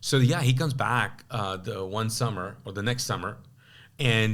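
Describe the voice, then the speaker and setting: A man talks at a moderate speed, his pitch varying in an ordinary way, with room echo clearly audible. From Kuwait, Pakistani family. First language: Urdu. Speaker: pastor. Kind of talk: testimony; casual chat. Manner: halting.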